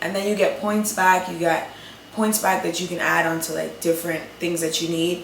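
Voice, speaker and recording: A woman with a New York accent, medium in pitch, fairly quick and fairly even in intonation, over noticeable background noise. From New York City. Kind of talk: casual talk to camera.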